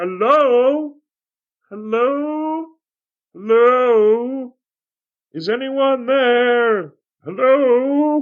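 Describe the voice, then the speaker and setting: In a put-on character voice, someone shouts at a fairly high pitch, very slowly, with long, frequent pauses. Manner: yelling, calling out.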